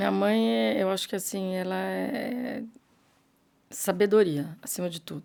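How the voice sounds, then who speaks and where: In a very clean recording with a silent background, a woman with a dark, mellow tone and fairly low pitch makes very wide pitch swings. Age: 60s. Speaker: businesswoman. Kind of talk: interview.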